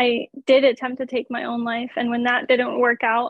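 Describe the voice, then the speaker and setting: In an American accent, the speaker talks at a moderate pace with monotone, flat intonation. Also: woman. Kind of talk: testimony. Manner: matter-of-fact.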